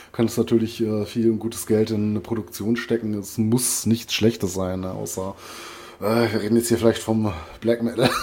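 A man talks in a monotone, flat intonation. Noticeable background noise can be heard. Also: medium pitch for a man, moderate pace. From Ruhr area, Germany. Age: 40s. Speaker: metal podcast co-host. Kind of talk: casual chat. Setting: remote recording over headphones.

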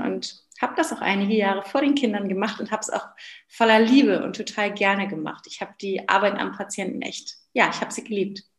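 Somewhat breathy, a woman talks at a fairly quick pace with ordinary pitch variation. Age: 30s. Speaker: business coach and former physiotherapist. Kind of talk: interview.

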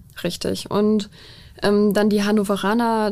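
Silent background and a very clean recording of a woman's voice. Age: 20s. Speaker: police officer. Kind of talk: interview. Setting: studio.

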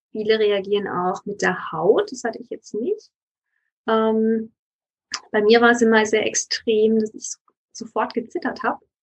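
A somewhat breathy woman speaks at a fairly slow pace and fairly high pitch, with fairly even intonation, long, frequent pauses and big swings in loudness. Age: 30s. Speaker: lawyer, yoga teacher and nutrition coach. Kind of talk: interview.

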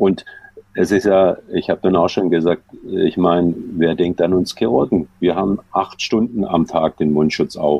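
A man speaks at a fairly slow pace with a very deep, low pitch. His loudness stays very even and his pitch variation is ordinary. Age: 60s. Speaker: sports physician. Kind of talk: interview. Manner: halting.

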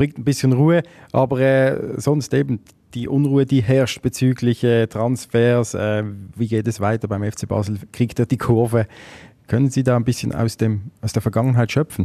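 This man has a medium pitch and ordinary pitch variation. His pace is moderate. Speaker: podcast host, sports journalist. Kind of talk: interview.

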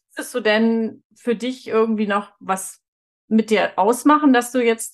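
Fairly high in pitch, this woman has a plain, everyday voice and a fairly even intonation. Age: 40s. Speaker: podcast host. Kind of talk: interview.

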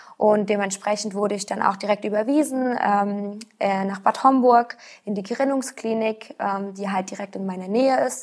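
At a moderate pace with hardly any pauses, a woman speaks at medium pitch with fairly even intonation. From Rhineland-Palatinate, Germany. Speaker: patient with rare disease. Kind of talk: interview. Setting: studio. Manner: halting, many fillers.

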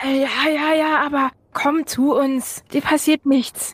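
The voice is a put-on character at a high pitch. It moves along very slowly. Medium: actual play. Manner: coaxing, reassuring, amused.

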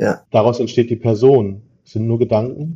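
A man's medium-pitched, somewhat breathy voice with a dark, mellow tone, ordinary pitch variation and a moderate pace. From Ruhr area, Germany (Dortmund). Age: 40s. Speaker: recycling business owner. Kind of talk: interview.

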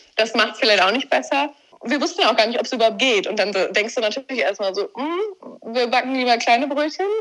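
This woman talks at a very fast pace. Her voice is high-pitched, with ordinary pitch variation. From Germany, Warendorf (Westphalia). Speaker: amateur eventing rider. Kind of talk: interview.

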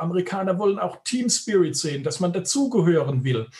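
This man talks at a fairly quick pace in a high voice. Noticeable background noise runs underneath. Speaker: headhunter, recruitment firm owner. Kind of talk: interview. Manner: emphatic, pointed.

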